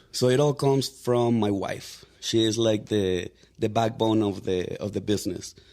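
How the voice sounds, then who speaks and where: A man with a Mexican accent speaks at a medium pitch in a dark, mellow tone, with ordinary pitch variation. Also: moderate pace. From Mexico. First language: Spanish. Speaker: real estate agent. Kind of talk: podcast interview. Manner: casual, many fillers.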